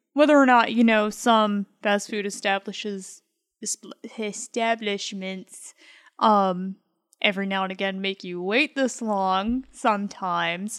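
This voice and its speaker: Someone with an ordinary speaking voice and an American accent talks at a fairly slow pace, in a dry, close sound with no echo on a very clean recording with a silent background. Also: woman, medium pitch for a woman, fairly even intonation. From Michigan. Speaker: host's wife, guest. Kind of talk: casual chat. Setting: studio.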